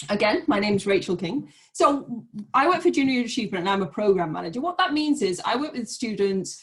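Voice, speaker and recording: Her voice somewhat breathy, a woman with a British accent speaks with lively intonation. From Great Britain. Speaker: nonprofit program manager. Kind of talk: online information session. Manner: fast.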